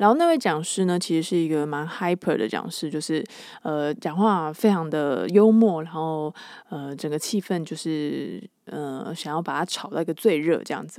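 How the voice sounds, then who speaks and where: With a dark, mellow tone, a woman speaks at a moderate pace in a fairly low pitch. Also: very clean recording, silent background. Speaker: podcast host. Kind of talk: casual solo monologue. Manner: animated.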